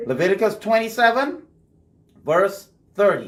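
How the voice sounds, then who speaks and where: This man speaks with a Bahamian accent. His pace is moderate. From Bahamas. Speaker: radio host discussing Bible teaching. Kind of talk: casual Bible study discussion. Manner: conversational.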